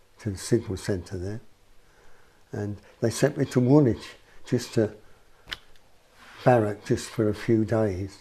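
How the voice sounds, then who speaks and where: A man speaks at a fairly slow pace with long, frequent pauses, his voice somewhat breathy. His pitch is fairly low with ordinary variation, and his tone is dark and mellow. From West Midlands, Birmingham. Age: 70s. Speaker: person with memory problems, ex-army signalman. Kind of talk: interview. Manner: halting.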